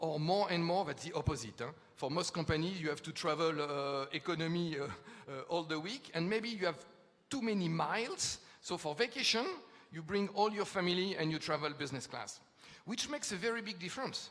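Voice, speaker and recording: A man with a French accent talks at a fairly quick pace in a high pitch. Noticeable background noise runs underneath. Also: lively intonation. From France. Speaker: futurist speaker. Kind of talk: conference talk. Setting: stage with audience. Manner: hesitant fillers.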